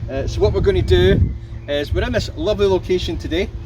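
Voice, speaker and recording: A man with a Scottish accent at a very fast pace, audible room echo and noticeable background noise. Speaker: YouTube product reviewer. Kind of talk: product review tutorial. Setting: outdoors then inside a car. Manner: casual, chatty.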